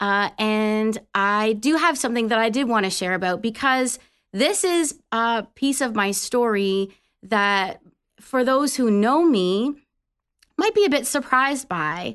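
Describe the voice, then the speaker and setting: An ordinary speaking voice from a woman with a Canadian accent, fairly high and lively in intonation, very even in loudness, over a quiet background. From Canada. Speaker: Salvation Army officer. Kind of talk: faith testimony. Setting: studio.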